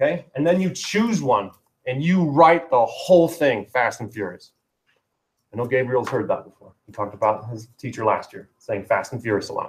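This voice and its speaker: A man's medium-pitched, somewhat breathy voice with very wide pitch swings and big swings in loudness. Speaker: writing teacher. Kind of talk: classroom lesson. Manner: fast.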